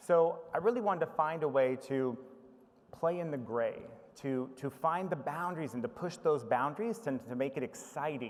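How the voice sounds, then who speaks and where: Over noticeable background noise, a man with an American accent speaks at a moderate pace in a fairly high pitch with lively intonation. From United States. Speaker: information management professional. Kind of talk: conference presentation. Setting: conference stage with audience.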